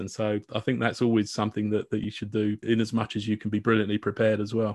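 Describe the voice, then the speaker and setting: At a very fast pace, a man with a British accent speaks at a medium pitch over a quiet background. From UK. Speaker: podcast host. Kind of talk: casual interview chat.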